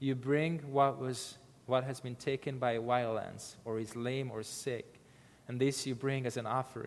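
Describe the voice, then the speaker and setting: Speaking with a non-native accent, a man uses a medium pitch. His pace is fairly slow. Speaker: missionary preacher. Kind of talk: sermon. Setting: church. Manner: halting.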